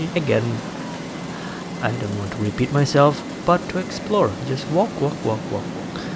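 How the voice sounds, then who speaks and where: Noticeable background noise surrounds this man's voice. He has a medium pitch and an American accent. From Malaysia, Kuching, Sarawak. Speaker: travel vlogger. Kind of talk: walking tour vlog. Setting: outdoors, street. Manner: halting. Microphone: action camera, poor quality recording.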